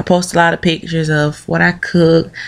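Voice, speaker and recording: Speaking fairly slowly with a Southern US accent, a woman uses a fairly low pitch and monotone, flat intonation. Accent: Southern American English. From Southern United States. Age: 20s. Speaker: video blogger. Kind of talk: casual opinion talk to camera. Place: home room. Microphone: webcam.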